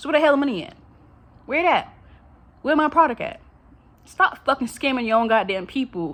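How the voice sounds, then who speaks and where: A woman talks at a fairly quick pace, her pitch moving in very wide swings. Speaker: vlogger. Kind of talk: casual monologue rant. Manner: animated; stuttering.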